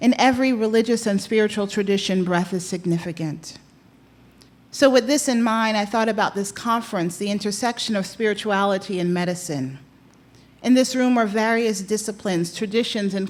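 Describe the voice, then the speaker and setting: A woman's ordinary speaking voice at medium pitch, in an American accent, with ordinary pitch variation and a moderate pace. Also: very clean recording, silent background. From New York. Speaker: chaplain. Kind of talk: opening reflection speech. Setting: conference room with audience. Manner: measured, rhetorical.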